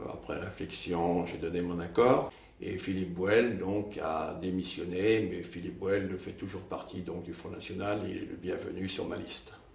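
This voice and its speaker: A man's very deep, low voice in a monotone, flat intonation at a fairly slow pace, with audible room echo and noticeable background noise. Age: 70s. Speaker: local political candidate. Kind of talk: press interview. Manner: hesitant, many filler sounds.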